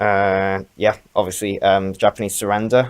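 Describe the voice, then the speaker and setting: A man mumbles his words. His pitch sits fairly low. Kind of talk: casual talk to camera. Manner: mumbling.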